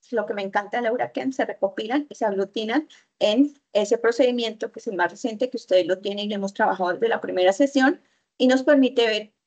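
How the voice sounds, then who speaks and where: A very fast-paced woman, fairly high in pitch, with ordinary pitch variation. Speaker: university chemistry lecturer. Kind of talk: online lecture.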